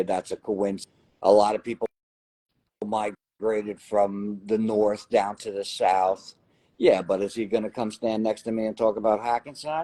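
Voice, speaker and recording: In a dry, close recording with no echo, a man with a dark, mellow tone speaks at a moderate pace and fairly low pitch, his intonation fairly even. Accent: New Jersey. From New Jersey. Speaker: lottery winner. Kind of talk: interview.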